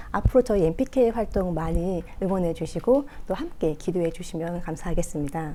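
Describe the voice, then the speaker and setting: Speaking at a moderate pace, a woman with a medium pitch and a dark, mellow tone uses lively intonation and has a slight non-native accent. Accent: slight foreign-tinged Korean pronunciation. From France. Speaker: political commentator. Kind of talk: political commentary broadcast. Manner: hesitant fillers.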